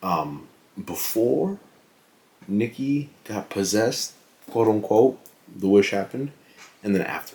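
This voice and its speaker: Quiet and fairly slow, a man speaks in a dark, mellow tone, leaving long, frequent pauses. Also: fairly low pitch for a man, ordinary pitch variation. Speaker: fitness vlogger and movie reviewer. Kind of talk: casual vlog movie review. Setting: at home late at night. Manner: quiet, hushed.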